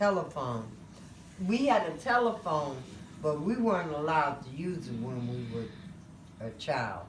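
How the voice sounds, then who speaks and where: The speaker, with a Detroit accent, talks at a moderate pace with very wide pitch swings and long, frequent pauses. Audible room echo and noticeable background noise fill the recording. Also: woman, very deep, low pitch for a woman. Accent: Detroit American English. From US Midwest, Detroit, Michigan. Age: 60s. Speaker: grandparent being interviewed. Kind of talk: family interview.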